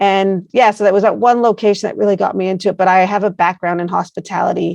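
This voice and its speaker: Very fast and in a monotone, flat intonation, a woman talks at a medium pitch. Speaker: placemaking organization founder. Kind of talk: interview.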